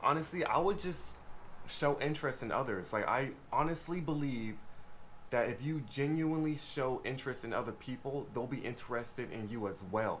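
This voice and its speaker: A man at medium pitch and a moderate pace, with ordinary pitch variation and audible room echo. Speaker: YouTuber, former conservation corps member. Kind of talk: casual vlog talk. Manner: quiet, soft-spoken usually; louder than usual, feels like yelling.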